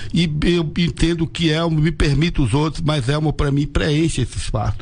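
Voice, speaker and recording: A man talking at a moderate pace over noticeable background noise. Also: fairly high pitch for a man, fairly even intonation, very even loudness. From Irecê, Bahia, Brazil. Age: 70s. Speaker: association president. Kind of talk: radio interview. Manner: halting, repeats words.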